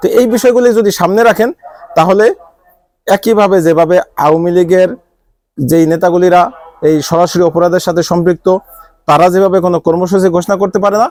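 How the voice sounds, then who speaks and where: A man's high-pitched voice with fairly even intonation and very even loudness. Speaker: political commentator. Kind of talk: live political commentary.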